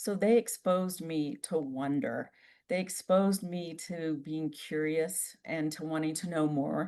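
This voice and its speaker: In an American accent, a woman speaks at a fairly slow pace with a fairly low pitch and a dark, mellow tone. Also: quiet background. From US South, Lake Charles, Louisiana. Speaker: interpretive trainer and outdoor educator. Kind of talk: interview. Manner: clear enunciation.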